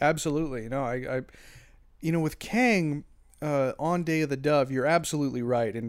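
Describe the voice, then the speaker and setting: At a moderate pace, a man talks in a normal speaking voice. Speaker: podcaster.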